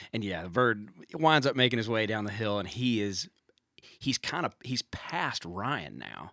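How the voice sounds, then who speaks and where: With a Southern US accent, a man talks at a moderate pace in a bright, sharp, fairly low voice with lively intonation. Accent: US South. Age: 30s. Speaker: songwriter and turkey hunter. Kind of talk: casual chat.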